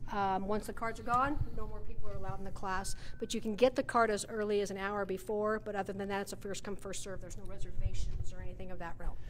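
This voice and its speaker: A woman speaks at a very fast pace with fairly even intonation. Light background noise is present. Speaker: gym operations manager. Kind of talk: casual interview. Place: gym.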